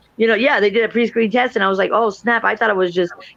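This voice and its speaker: A woman with fairly even intonation, over noticeable background noise. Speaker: guest on talk show. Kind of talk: casual chat. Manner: fast.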